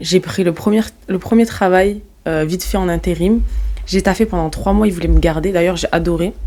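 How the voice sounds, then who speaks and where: With a slight southern French accent, a woman speaks in a dark, mellow tone and fairly even intonation. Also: medium pitch for a woman, moderate pace. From southern France (Marseille, Montpellier, Nîmes). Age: 20s. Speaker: entrepreneur, company CEO. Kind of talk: podcast interview, casual chat. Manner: casual, hesitant with fillers and restarts.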